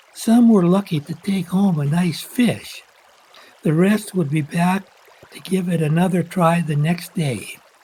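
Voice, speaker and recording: A high-pitched man with an American accent, at a fairly slow pace with ordinary pitch variation, over noticeable background noise. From Washington State, US Pacific Northwest. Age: 80s+. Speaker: local fisherman telling his story. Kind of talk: personal narration.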